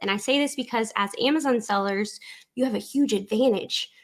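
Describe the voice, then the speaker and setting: A woman speaks in a South Louisiana accent. Her pace is moderate. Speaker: online business coach. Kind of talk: tutorial. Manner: conversational.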